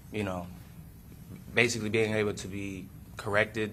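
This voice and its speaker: Delivered at a very fast pace, this voice has a bright, sharp tone and a monotone, flat intonation. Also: man. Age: 20s. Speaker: defendant testifying in court. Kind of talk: court testimony. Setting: courtroom. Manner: halting.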